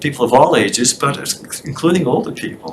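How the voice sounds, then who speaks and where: A man keeps a moderate pace while noticeable background noise goes on. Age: 70s. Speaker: committee member presenting to town board. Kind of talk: public meeting presentation. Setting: town select board meeting.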